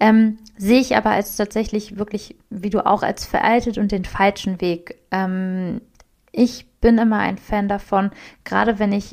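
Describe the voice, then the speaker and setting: A woman with an ordinary speaking voice, medium in pitch, at a fairly slow pace with fairly even intonation. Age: 20s. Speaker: podcast co-host, self-employed social media marketer. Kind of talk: casual chat.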